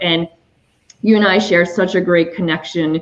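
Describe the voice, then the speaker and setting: Here a woman speaks in a French Canadian accent with a fairly low pitch. She keeps a moderate pace. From Quebec. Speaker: matchmaker and dating coach. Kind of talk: online show interview.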